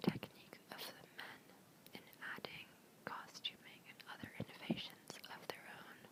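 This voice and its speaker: Whispered words from a woman amid noticeable background noise. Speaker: ASMR creator, college student. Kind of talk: whispered textbook reading. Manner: whispered, soft-spoken.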